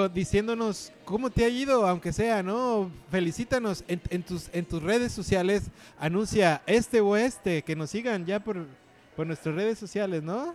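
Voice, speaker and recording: At a fairly slow pace, a man speaks with a high pitch. His pitch variation is ordinary. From Mexico City. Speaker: stand-up comedian and podcast host. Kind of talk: casual comedic chat. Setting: bar.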